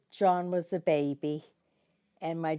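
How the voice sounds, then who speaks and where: A woman speaks with a New York accent at a fairly low pitch. Her intonation is monotone and flat. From Brooklyn, New York. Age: 90s. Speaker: senior interviewee. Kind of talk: interview. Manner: halting.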